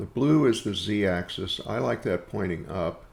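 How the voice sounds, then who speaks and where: A man with an American accent speaks at a fairly slow pace, his pitch fairly low. His voice shows vocal fry and very wide pitch swings. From US Midwest (Missouri Ozarks). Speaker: software tutorial maker, woodworker. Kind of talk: tutorial.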